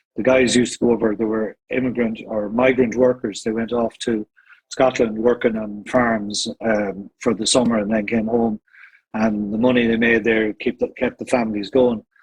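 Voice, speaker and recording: Music plays in the background as a man with an Irish accent talks at a moderate pace. His intonation stays monotone and flat. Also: medium pitch for a man. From Ireland, County Meath. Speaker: singer in vocal harmony group. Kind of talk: casual interview.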